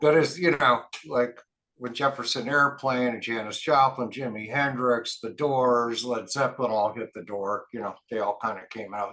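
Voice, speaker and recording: The tone is bright and sharp, with big swings in loudness and a moderate pace. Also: man, medium pitch for a man, ordinary pitch variation. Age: 60s. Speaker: rock band lead singer. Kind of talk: interview. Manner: casual, filler-heavy.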